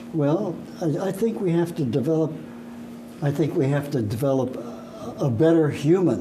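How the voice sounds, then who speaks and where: A man with an American accent, fairly high-pitched for a man, with lively intonation, long and frequent pauses, and noticeable background noise. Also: moderate pace. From United States. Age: 80s+. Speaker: orchestra conductor; talk show guest. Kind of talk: interview. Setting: studio. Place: studio.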